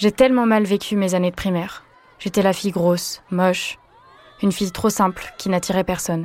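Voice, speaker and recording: Her intonation is fairly even at a moderate pace. The woman has a normal speaking voice with a medium pitch. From western France. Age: 20s. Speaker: student sharing personal story. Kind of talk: testimony.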